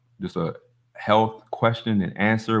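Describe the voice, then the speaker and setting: A man speaks in a normal speaking voice, with a fairly low pitch and a moderate pace. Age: 40s. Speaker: holistic health livestream host. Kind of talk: casual livestream chat reading comments. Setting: livestream on phone. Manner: casual, filler-heavy.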